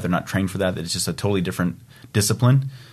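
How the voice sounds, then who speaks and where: With an American accent, a man speaks at a fairly low pitch against a quiet background. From US Midwest, Iowa. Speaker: draft horse driver. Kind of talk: casual interview. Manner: halting, many repeated words.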